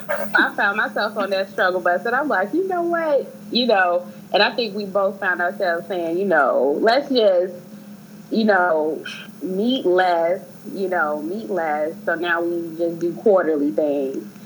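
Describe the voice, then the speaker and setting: At a fairly slow pace, a woman with an unremarkable speaking voice talks at medium pitch. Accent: American. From Chicago. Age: 30s. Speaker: research administrator. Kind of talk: casual chat.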